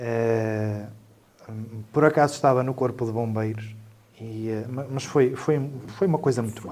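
A man of medium pitch speaks at a fairly slow pace with fairly even intonation and long, frequent pauses. His loudness swings widely, and there is noticeable background noise. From northern Portugal (Trás-os-Montes, raised in Lamego). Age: 40s. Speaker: civil protection coordinator. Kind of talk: panel discussion. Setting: studio. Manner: halting, with many fillers and repetitions.

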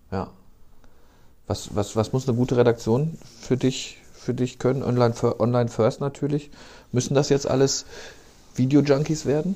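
His tone is dark and mellow, at a moderate pace. The man leaves long, frequent pauses. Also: medium pitch for a man, fairly even intonation. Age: 50s. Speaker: podcast host, newspaper journalist. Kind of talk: casual chat.

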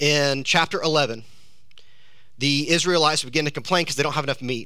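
A man's bright, sharp voice at a fairly high pitch, with an American accent, a fairly quick pace and audible room echo. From US South, South Georgia. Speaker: pastor. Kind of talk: sermon. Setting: church.

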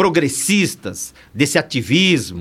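Vocal fry and very wide pitch swings from a man. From São Paulo, East Zone (Bahian family). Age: 60s. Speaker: criminal lawyer and pastor. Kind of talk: casual chat. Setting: studio.

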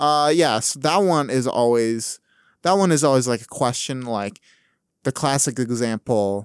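A plain, everyday voice with an American accent speaks at a fairly slow pace with ordinary pitch variation, on a very clean recording with a silent background and a dry, close sound with no echo. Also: man. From Wisconsin, Wausau. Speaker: college student, speech competitor and stand-up comedian. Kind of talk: casual chat.

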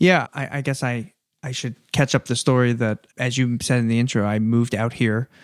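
A man with an American accent speaks at a fairly quick pace in a normal speaking voice, his intonation fairly even. The recording is very clean and dry, close-miked with no echo against a silent background. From New Jersey, US. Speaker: venture capital investor. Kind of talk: casual interview. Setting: in person.

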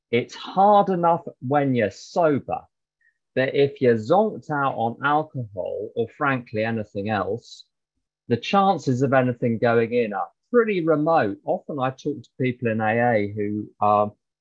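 Lively in intonation, a man of medium pitch talks at a fairly slow pace with big swings in loudness. He has an unremarkable speaking voice. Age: 50s. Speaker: recovering alcoholic speaker. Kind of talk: testimony. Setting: video call.

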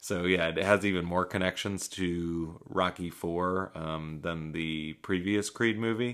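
A gravelly male voice, very deep and low, moves at a fairly slow pace. His intonation is fairly even, with hardly any pauses. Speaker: podcast host and movie reviewer. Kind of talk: solo movie review monologue. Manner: casual with frequent fillers.

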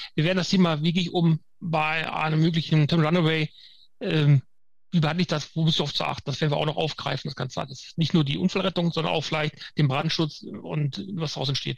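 In a plain, everyday voice, a man speaks at a fairly quick pace with a fairly high pitch and fairly even intonation. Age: 50s. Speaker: firefighter trainer. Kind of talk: interview. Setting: video call.

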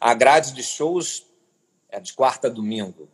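Here is a man with an ordinary speaking voice at a medium pitch. He talks at a moderate pace with lively intonation. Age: 40s. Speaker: cultural manager and curator. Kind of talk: interview.

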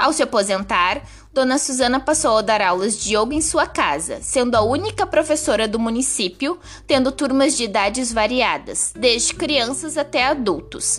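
A woman's high-pitched voice with lively intonation, very even loudness and a moderate pace. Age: 20s. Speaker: schoolteacher. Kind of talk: scripted narration.

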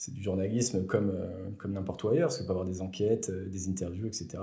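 A man speaks fairly quickly with a fairly low pitch. His voice is somewhat breathy, with a dark, mellow tone. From France, Bourg-en-Bresse area. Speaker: sports journalist. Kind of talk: interview.

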